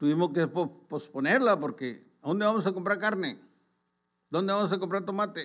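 With a high pitch and ordinary pitch variation, a man speaks at a moderate pace against a quiet background. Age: 60s. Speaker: pastor. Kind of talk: sermon. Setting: online broadcast. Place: church. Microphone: podium.

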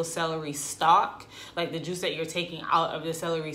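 Speaking at a moderate pace, a woman with an unremarkable speaking voice keeps a fairly low pitch. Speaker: vlogger. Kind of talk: casual vlog chat. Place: home room. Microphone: camera far.

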